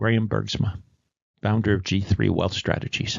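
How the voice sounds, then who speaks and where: A man talks at a moderate pace. His fairly low voice carries vocal fry. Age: 70s. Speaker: retired insurance industry veteran. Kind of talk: scripted explainer.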